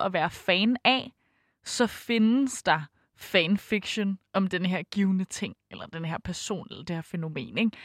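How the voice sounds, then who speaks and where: With lively intonation, a woman speaks in a dry, close sound with no echo. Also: very clean recording, silent background. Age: 20s. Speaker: fan fiction writer. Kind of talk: interview. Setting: studio.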